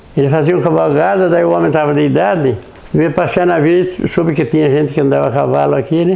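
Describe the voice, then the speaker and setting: Words come at a fairly quick pace with noticeable noise in the background. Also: man. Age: 90s. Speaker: elderly local resident. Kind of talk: oral history interview.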